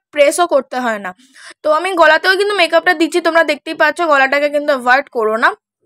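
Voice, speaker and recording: Her high-pitched voice is raised and projected, bright and sharp in tone. The woman's intonation is lively, and the sound is dry and close with no echo. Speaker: beauty vlogger. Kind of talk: makeup tutorial chat. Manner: chatty.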